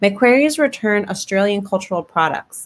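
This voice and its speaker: A woman with an American accent and a normal speaking voice talks at a fairly quick pace, medium in pitch, with lively intonation. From United States. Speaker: sociology lecturer. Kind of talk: webinar presentation.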